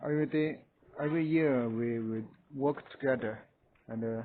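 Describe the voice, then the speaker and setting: A man with a Chinese accent talks at a fairly slow pace. His medium-pitched voice has fairly even intonation. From rural China. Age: 30s. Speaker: vlogger. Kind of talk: casual home tour. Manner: halting.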